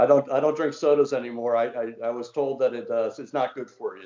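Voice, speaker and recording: An American-accented man at a fairly quick pace. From Washington DC area. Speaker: former mayor, amateur cricketer. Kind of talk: casual interview.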